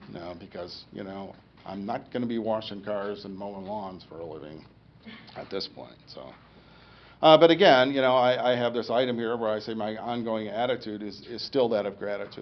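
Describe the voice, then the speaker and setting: Amid audible room echo, a man speaks at a moderate pace with a fairly low pitch, ordinary pitch variation and big swings in loudness. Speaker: stroke survivor giving a talk. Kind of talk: public talk. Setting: lecture room with audience. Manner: halting speech after stroke.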